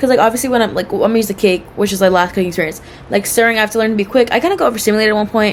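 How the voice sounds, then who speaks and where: A woman talks at a very fast pace with a fairly high pitch and ordinary pitch variation. Noticeable background noise runs beneath her. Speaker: cooking student vlogger. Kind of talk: casual self-assessment monologue. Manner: loud; rambling with many fillers.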